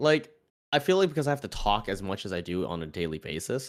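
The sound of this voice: Raspy and fast, a man talks at a fairly low pitch with big pitch swings in a very clean recording with a silent background.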